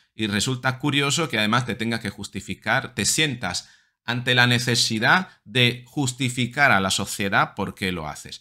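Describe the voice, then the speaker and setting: Against a quiet background, a man talks at a moderate pace with a bright, sharp tone. His pitch varies in an ordinary way. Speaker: psychologist video commentator. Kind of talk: angry rant. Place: home room. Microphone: webcam.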